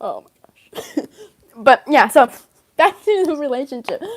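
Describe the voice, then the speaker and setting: A woman speaks loudly with lively intonation. The sound is dry and close, with no echo. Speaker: livestreamer and fan story creator. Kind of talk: casual livestream chat. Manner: talkative, rambling.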